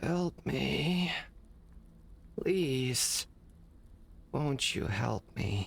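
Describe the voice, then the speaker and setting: A raspy, put-on character voice. Its pitch sits low to middle. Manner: weak, pleading.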